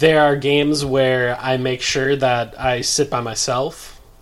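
A man at medium pitch talks in a normal speaking voice with fairly even intonation. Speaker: basketball podcast host. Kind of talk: casual chat.

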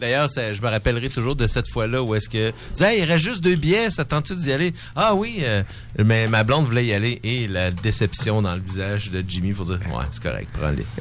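Music plays in the background as a man speaks at a fairly quick pace with a medium pitch and lively intonation. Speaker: radio show guest. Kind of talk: casual chat.

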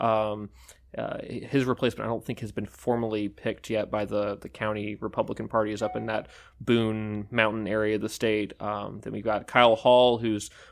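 Here is a man with a normal speaking voice and a fairly low pitch, talking at a fairly quick pace. His intonation is fairly even, on a very clean recording with a silent background. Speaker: political reporter. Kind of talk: casual newsroom discussion.

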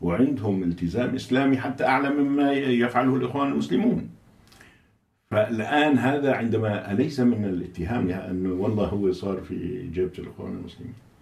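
Audible room echo surrounds a man whose medium-pitched voice has lively intonation. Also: moderate pace. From Syria, Aleppo. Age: 70s. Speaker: Islamist politician and think tank director. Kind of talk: interview.

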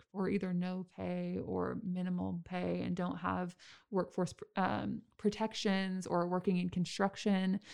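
Here a woman is heard in a very clean recording against a silent background. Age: 20s. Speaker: city council member. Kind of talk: interview.

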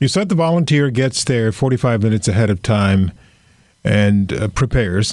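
An unremarkable speaking voice from a man at a moderate pace over a quiet background. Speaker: radio reporter and podcast host. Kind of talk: narrated news feature and interview.

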